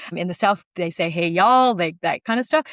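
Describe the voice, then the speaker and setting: With lively intonation, a woman in a Minnesotan accent speaks in a very clean recording over a silent background. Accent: Minnesota. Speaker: short-term rental entrepreneur. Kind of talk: podcast interview.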